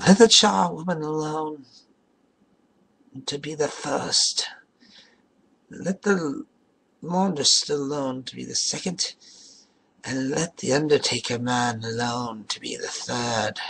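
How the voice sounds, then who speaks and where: A man's put-on character voice, fairly high in pitch with lively intonation, at a fairly slow pace with long, frequent pauses. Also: big swings in loudness. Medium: read story. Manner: brash, defiant.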